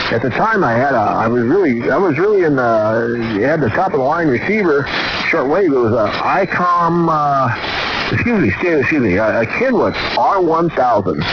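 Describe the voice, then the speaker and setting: The voice swings very widely in pitch while its loudness stays very even, heard with audible room echo and noticeable background noise. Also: man, fairly high pitch for a man, moderate pace. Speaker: ham radio operator streaming on-air chat. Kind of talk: casual radio chat. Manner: stuttering, halting.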